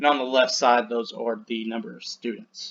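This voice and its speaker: A man with a plain, everyday voice talks at a medium pitch and a fairly quick pace. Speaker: teacher. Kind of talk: lecture.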